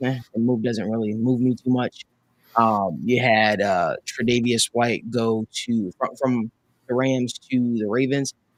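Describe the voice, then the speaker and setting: With a New Jersey accent, a man speaks at a medium pitch and fairly slow pace, his intonation fairly even and the sound dry and close with no echo. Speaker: sports talk show host. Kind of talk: casual sports talk show.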